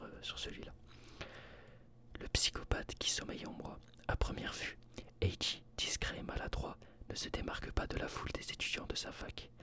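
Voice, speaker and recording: Someone whispers at a moderate pace, with long, frequent pauses. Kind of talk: reading a book synopsis. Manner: whispered.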